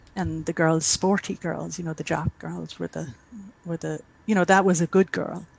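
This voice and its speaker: In an Irish accent, a woman speaks at a fairly low pitch, the sound dry and close with no echo. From Ireland, rural County Mayo. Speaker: author. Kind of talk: interview.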